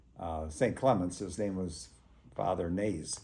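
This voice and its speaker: A man with an American accent, room echo audible. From US Midwest, St. Louis area, Missouri. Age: 80s+. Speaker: local resident sharing memories. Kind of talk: oral history interview. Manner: halting, many fillers.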